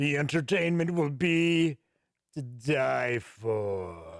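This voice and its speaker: A man speaks in a put-on character voice at a very slow pace. The recording is very clean with a silent background. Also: medium pitch for a man. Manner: ominous.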